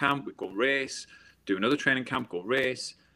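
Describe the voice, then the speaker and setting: A man with a northeast English accent speaks at a fairly quick pace in a bright, sharp tone, on a very clean recording with a silent background. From northeast England. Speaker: former Olympic swimmer and motivational speaker. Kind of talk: interview conversation.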